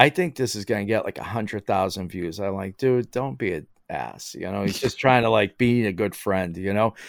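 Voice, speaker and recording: With an American accent, a man talks at a moderate pace in a fairly low pitch, using lively intonation and a normal speaking voice, recorded dry and close with no echo. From Boston area, Massachusetts (Somerville). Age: 50s. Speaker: maker and content creator. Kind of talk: casual chat. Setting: remote call, lying in bed.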